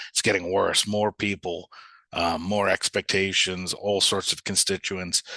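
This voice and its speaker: Dry and close with no echo, the recording carries a man's bright, sharp tone in a New York accent. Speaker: software company sales leader. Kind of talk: webinar presentation. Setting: live webinar. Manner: fast; animated.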